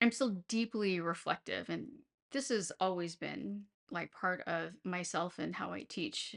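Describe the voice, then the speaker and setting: In a dry, close sound with no echo and a quiet background, a woman speaks at a fairly slow pace. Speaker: teacher and podcast host. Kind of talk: personal podcast monologue. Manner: frequent pauses; changed cadence after concussion.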